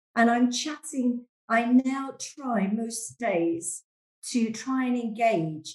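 A woman talks with a London accent. Her voice is somewhat breathy and fairly high in pitch. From London, England. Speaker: church member and stay-at-home mum. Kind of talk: casual chat. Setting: video call.

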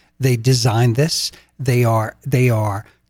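Speaking very slowly, a somewhat breathy man talks in an American accent. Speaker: podcast co-host. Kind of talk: casual chat.

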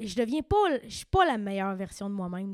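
This woman has a Quebec accent. She speaks at a very fast pace. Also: very clean recording, silent background. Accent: Québécois French. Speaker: podcast host. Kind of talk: casual chat.

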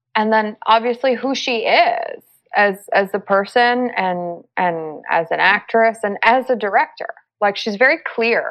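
A woman with an American accent talks at a very slow pace, her intonation lively. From Los Angeles, US. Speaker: actress. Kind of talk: interview. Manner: halting.

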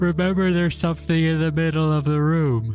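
A man's put-on character voice, fairly high-pitched and at a fairly quick pace, over clear music in the background.

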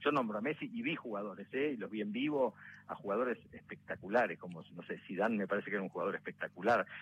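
Speaking very fast, a man with a Rioplatense accent uses a medium pitch. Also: ordinary pitch variation. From Argentina, La Plata. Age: young. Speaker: actor. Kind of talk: interview. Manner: halting.

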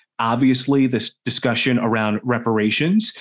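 A man with an American accent speaks in an ordinary speaking voice at medium pitch and a moderate pace. His intonation stays fairly even over a quiet background. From Washington, DC. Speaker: news anchor and race and culture reporter. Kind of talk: interview conversation.

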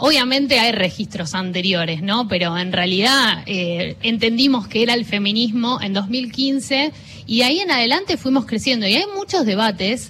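Noticeable background noise runs under a woman's voice. She speaks at a fairly high pitch with lively intonation. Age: 30s. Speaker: journalist, co-founder of a feminist media collective. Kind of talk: interview. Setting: radio booth at a book fair.

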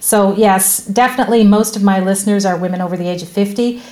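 Over noticeable background noise, a woman speaks at a fairly quick pace in a medium-pitched voice. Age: 50s. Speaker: podcast host. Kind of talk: interview.

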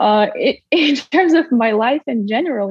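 The speaker is a woman with a Russian accent. She talks at a moderate pace. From Russia, Siberia. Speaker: former college tennis player, marketing head. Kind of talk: interview.

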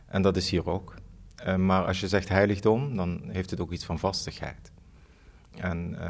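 Speaking at a fairly slow pace, a man uses a very deep, low pitch and fairly even intonation. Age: 40s. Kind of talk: interview. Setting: empty theatre studio. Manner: halting.

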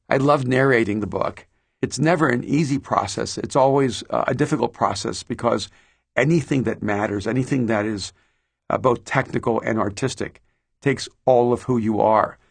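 Over a quiet background, a man speaks at a moderate pace. His pitch is medium, with ordinary pitch variation. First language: Spanish. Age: 50s. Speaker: pastor and author. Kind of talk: interview monologue about his audiobook. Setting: studio.

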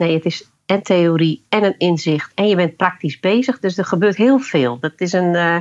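In a normal speaking voice, a woman talks fairly slowly at a fairly low pitch with ordinary pitch variation. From Friesland, Netherlands. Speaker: leadership coach using horses. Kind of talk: interview. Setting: remote recording.

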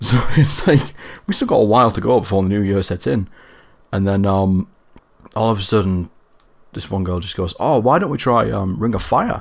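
With a northern English accent, a man speaks at a fairly low pitch and a moderate pace, his pitch varying in an ordinary way between long, frequent pauses. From northern England. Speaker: guest. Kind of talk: casual chat.

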